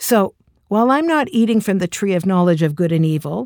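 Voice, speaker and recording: In a very clean recording with a silent background, a woman uses a normal speaking voice at medium pitch with lively intonation. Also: dry, close sound with no echo. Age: 60s. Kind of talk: inspirational talk.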